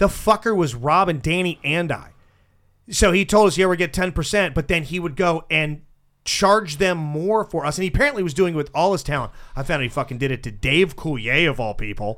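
A man's fairly high, lively, fairly quick delivery in a normal speaking voice, on a very clean recording with a silent background. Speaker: radio show host. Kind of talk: casual banter, comedy radio show. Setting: studio.

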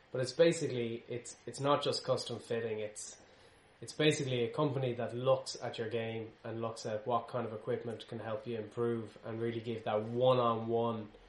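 Noticeable background noise sits behind a man speaking at a moderate pace, his medium pitch flat and monotone. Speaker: podcast host. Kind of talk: casual podcast chat.

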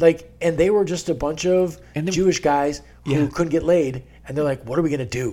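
Using an unremarkable speaking voice, a man talks at a fairly quick pace and a fairly high pitch. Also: ordinary pitch variation. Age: 40s. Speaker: podcast host. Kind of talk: casual chat.

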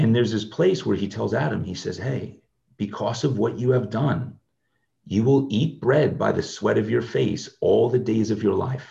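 A man's dark, mellow tone with vocal fry. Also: ordinary pitch variation, moderate pace. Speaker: ministry leader, inner healing minister. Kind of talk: interview conversation, personal testimony.

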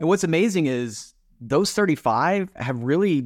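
In a very clean recording with a silent background, a man speaks at a moderate pace with very wide pitch swings. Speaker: podcast producer and company CEO. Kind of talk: casual interview chat.

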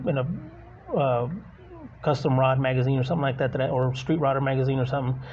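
A man at a medium pitch and a fairly quick pace, a plain, everyday voice. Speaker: podcast co-host. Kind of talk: casual interview chat. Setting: on location in a shop.

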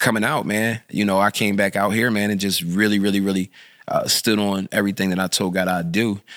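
A man's fairly low voice with an American accent, flat and monotone, at a fairly quick pace. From North Philadelphia. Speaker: pastor and community activist. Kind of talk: casual interview.

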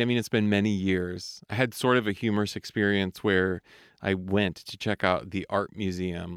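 A plain, everyday voice at a moderate pace, on a very clean recording with a silent background and a dry, close sound with no echo. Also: man. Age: 40s. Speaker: podcast host, singer and voice coach. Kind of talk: solo monologue. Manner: warm, reflective.

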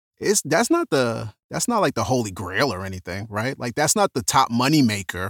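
On a very clean recording with a silent background and a dry, close sound with no echo, a man speaks at a moderate pace in a medium pitch with lively intonation and hardly any pauses. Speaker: podcaster and audio describer. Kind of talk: casual interview chat.

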